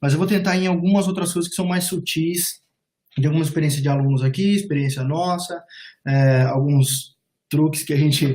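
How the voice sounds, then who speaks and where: A man speaks in a dark, mellow tone at a fairly high pitch, keeping a moderate pace and fairly even intonation. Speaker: immigration and job advisor. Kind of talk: webinar presentation. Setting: online webinar call.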